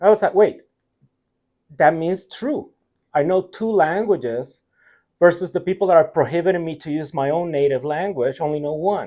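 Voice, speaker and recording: With a Puerto Rican accent, a man with a high pitch and a dark, mellow tone speaks at a moderate pace with ordinary pitch variation and long, frequent pauses. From Puerto Rico. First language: Spanish. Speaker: tech company CTO. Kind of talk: interview conversation.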